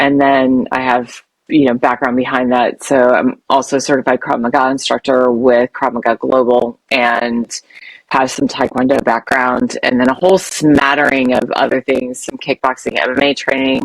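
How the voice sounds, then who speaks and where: The speech moves at a moderate pace in a monotone, flat intonation, with a dry, close sound and no echo. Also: woman, very deep, low pitch for a woman. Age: 60s. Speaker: self-defense instructor. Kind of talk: interview.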